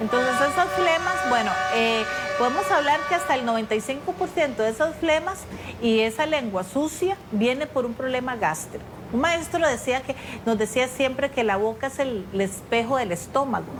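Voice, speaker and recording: Noticeable background noise surrounds a woman speaking in a Costa Rican accent. Her high voice moves at a moderate pace with lively intonation. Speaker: ENT doctor. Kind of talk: interview answering viewer questions.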